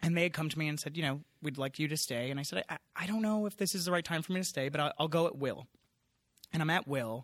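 The speaker has an American accent. The pace is very fast. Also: man, fairly high pitch for a man, ordinary pitch variation, very clean recording, silent background. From US Northeast, Long Island, New York. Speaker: TV network executive. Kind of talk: casual chat. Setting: conference venue.

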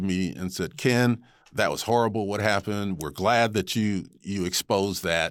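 Recorded very cleanly over a silent background, this man has a fairly low pitch, a moderate pace, ordinary pitch variation and an unremarkable speaking voice. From Rochester, New York. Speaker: TV news anchor. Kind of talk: interview.

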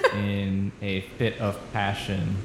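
A man speaks very slowly in a fairly low pitch. Noticeable background noise can be heard. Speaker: improv comedy podcast host. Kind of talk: casual improv comedy chat.

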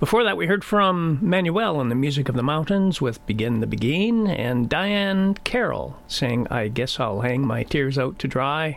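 A man with a fairly high pitch talks in a relaxed tone with very wide pitch swings, very even loudness and hardly any pauses. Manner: relaxed, mellow and unhurried, easy-listening announcer delivery.

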